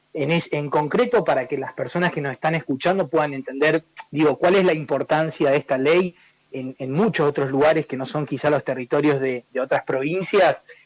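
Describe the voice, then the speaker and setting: Captured in a dry, close sound with no echo, a man talks in a fairly high pitch with ordinary pitch variation. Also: fairly quick pace. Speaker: human rights advocate. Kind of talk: radio interview. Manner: fast.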